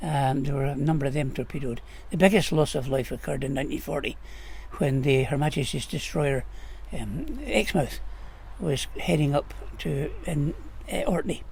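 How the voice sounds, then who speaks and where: A man in a northern Scottish accent, with long, frequent pauses. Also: moderate pace. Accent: northern Scottish (Caithness). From Scotland, Caithness (Wick). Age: 80s+. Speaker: local historian. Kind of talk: interview.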